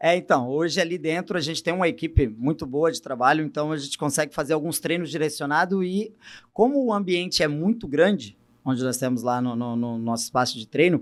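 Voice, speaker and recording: An ordinary speaking voice moves at a fairly quick pace with lively intonation, on a very clean recording with a silent background. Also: man, fairly high pitch for a man. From Brazil, Goiás (Goiânia). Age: 30s. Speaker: fitness coach. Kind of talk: interview conversation.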